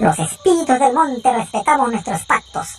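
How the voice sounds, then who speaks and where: A put-on character voice with fairly high pitch. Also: moderate pace. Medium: read story. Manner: mocking, cheeky.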